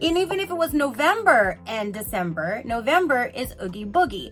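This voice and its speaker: Over music in the background, a woman speaks in a fairly high, animated voice with very wide pitch swings. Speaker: craft YouTuber. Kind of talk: product review vlog. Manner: fast; casual, animated.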